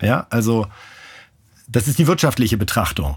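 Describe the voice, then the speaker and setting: A somewhat breathy man's voice with lively intonation, in a very clean recording over a silent background. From northern Germany (Bremen). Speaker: sports journalist, newspaper sports editor. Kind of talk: interview.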